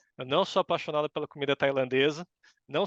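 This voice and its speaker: Speaking at a very fast pace, a man has a fairly high pitch. The background is quiet, and the sound is dry and close with no echo. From Brazil, São Paulo. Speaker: university professor. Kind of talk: interview.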